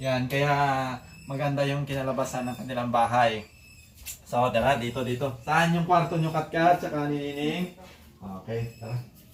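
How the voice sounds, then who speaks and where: A man speaks with a fairly high pitch. Background noise is noticeable. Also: ordinary pitch variation, moderate pace. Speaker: vlogger. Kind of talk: casual vlog house tour. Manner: animated.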